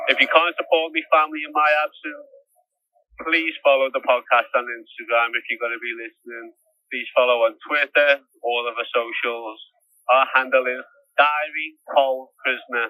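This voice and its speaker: Speaking at a moderate pace with a Liverpool accent, the voice keeps fairly even intonation while its loudness swings widely. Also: man, medium pitch for a man. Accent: Scouse. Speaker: prisoner podcaster. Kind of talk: podcast outro appeal. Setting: prison cell by phone.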